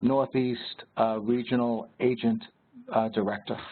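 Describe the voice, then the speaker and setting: With a New York accent, a man speaks at a very slow pace in a monotone, flat intonation at medium pitch. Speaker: regional sales director. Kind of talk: webinar Q&A. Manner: hesitant, many fillers.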